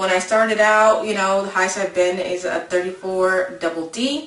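Audible room echo surrounds a woman's voice. She speaks at medium pitch with ordinary pitch variation. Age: 30s. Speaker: lifestyle vlogger. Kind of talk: casual vlog monologue. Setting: home video recording. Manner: chatty, informal with fillers. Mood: relaxed, upbeat. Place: home room. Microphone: webcam.

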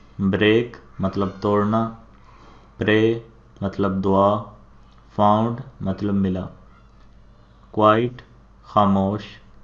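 With a Punjabi accent, a man speaks at a fairly low pitch in a monotone, flat intonation. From Pakistan. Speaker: teacher. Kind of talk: vocabulary lesson.

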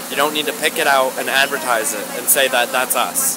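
There is noticeable background noise behind the speaker. He is a man with an American accent and a fairly high pitch. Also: dry sound with no echo. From Virginia. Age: 20s. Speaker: protester; interviewee. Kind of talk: street interview. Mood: earnest, somewhat indignant. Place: street. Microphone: phone near.

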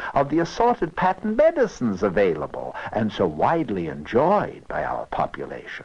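A man speaks at a moderate pace. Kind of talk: scripted satirical narration of a 1969 animated short.

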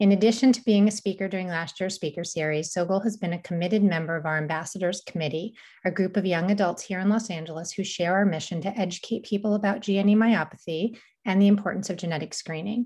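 A woman speaks at a very fast pace in a somewhat breathy voice with fairly even intonation. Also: quiet background. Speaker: organization host introducing a speaker. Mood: warm, grateful. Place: home room. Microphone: webcam.

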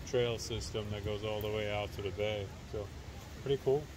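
With noticeable background noise but a dry sound and no echo, a man talks at a fairly low pitch. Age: 20s. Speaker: travel vlogger. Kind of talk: casual vlog narration. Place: open country. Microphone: phone near.

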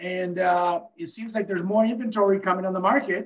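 This man's voice is high in pitch. He speaks at a fairly quick pace.

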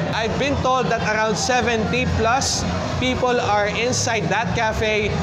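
Loud background music fills the recording. Over it, a man talks. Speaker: event vlogger. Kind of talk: casual vlog chat. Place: hall. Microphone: phone near.

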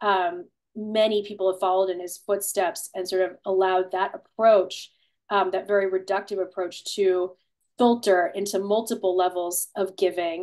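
The woman's intonation is monotone and flat. She speaks at a moderate pace against a quiet background. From Ohio (Cleveland); Ohio. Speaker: author and political philosopher; guest. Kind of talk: webinar conversation. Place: home room. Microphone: video call.

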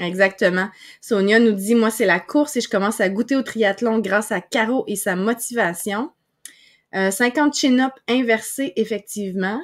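In a Quebec accent, the voice shows ordinary pitch variation against a quiet background. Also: woman, fairly high pitch for a woman, fairly slow pace. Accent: Québécois French. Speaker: podcast host and online broadcasting coach; podcast host, online broadcasting coach. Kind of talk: live-streamed interview. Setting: live stream video call. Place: home room. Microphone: webcam.

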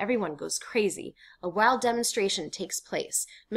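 Ordinary pitch variation in plain reading aloud

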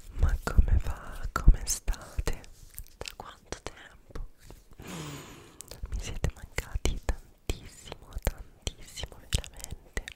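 Whispering and soft-spoken, the speaker talks at a very slow pace. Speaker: content creator. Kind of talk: casual vlog chat. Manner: soft close-mic whisper. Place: home room. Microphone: studio mic.

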